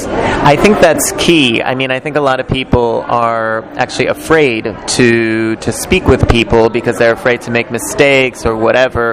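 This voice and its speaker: A man talking with hardly any pauses and ordinary pitch variation, noticeable background noise behind him. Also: medium pitch for a man, moderate pace. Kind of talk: interviewer questions.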